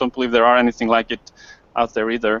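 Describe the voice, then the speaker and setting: With a Swedish accent, a man speaks at a medium pitch. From Sweden. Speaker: online entrepreneur. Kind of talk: self-introduction in group hangout. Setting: video call.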